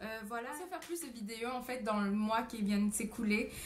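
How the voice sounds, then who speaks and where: A woman speaks with a fairly high pitch, a somewhat breathy quality, and fairly even intonation. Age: 20s. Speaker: au pair vlogger. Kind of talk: casual vlog monologue. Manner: hesitant, many fillers.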